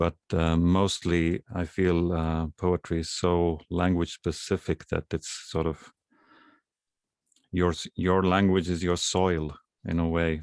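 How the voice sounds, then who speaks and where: A man with an Estonian accent speaks very slowly at a very deep, low pitch, with long, frequent pauses. His intonation is monotone and flat, his loudness very even, and the sound dry and close with no echo against a quiet background. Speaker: poet. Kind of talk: poetry reading.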